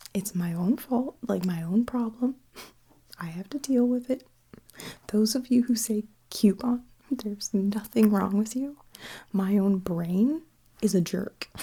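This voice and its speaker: A woman whispers, soft-spoken and somewhat breathy. Her speech has long, frequent pauses. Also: fairly slow pace. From Canada. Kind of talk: ASMR accent tag video. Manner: soft-spoken with whispers.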